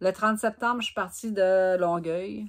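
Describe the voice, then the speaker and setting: With a Gaspésie accent and lively intonation, a woman speaks at a fairly slow pace on a very clean recording with a silent background. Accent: Quebec French (Gaspésie). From Gaspésie, Quebec. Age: 50s. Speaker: knitting vlogger. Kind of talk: casual vlog storytelling.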